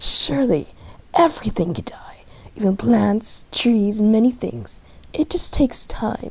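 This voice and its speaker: A woman performs a put-on character voice, whispering and growling. She moves at a fairly slow pace. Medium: read story. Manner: menacing, growling.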